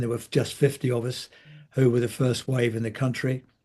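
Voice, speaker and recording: Somewhat breathy man with an English accent, medium in pitch, over a quiet background. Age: 80s+. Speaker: healthcare commentator. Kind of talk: interview.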